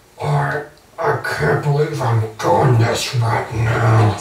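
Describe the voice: A man's put-on character voice, raspy and robotic, at medium pitch and a very slow pace, with slight echo.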